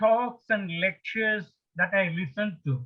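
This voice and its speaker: Talking at a fairly slow pace, a man with a high pitch uses lively intonation. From India. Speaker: retired engineer, spiritual speaker. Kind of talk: lecture. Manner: slow, deliberate.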